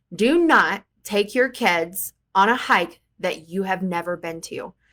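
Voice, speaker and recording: A woman with an ordinary speaking voice and medium pitch is heard on a very clean recording with a silent background. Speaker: vlogger mom. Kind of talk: casual vlog talk. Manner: conversational with fillers.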